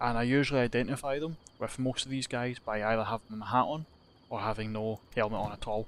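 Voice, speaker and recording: In a Scottish accent, a man speaks very fast at medium pitch with fairly even intonation. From Scotland. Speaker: gaming youtuber. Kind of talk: gameplay commentary. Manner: casual, rambling with fillers.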